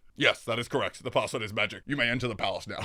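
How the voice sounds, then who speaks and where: Using a put-on character voice, a man speaks in a dramatic tone at a medium pitch. He goes at a very fast pace. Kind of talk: formal, stiff. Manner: voice acting, dramatic.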